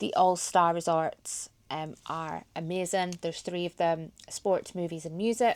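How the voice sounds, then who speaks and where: On a very clean recording with a silent background, a woman with a slight Geordie accent speaks in monotone, flat intonation at a fairly low pitch. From Scotland, Highlands near Inverness. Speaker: vlogger. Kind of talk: casual vlog chat.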